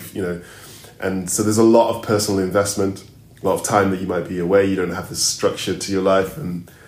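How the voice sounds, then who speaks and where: Amid audible room echo, a man races along at a very fast pace in a fairly low, monotone, flat voice. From Zambia. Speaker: opera singer. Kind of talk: interview. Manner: halting.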